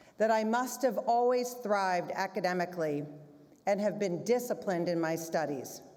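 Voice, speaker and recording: Her tone dark and mellow, a woman speaks at a moderate pace and medium pitch with ordinary pitch variation, audible room echo around her. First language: German. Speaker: head of school. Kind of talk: closing remarks speech. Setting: school theater stage with audience.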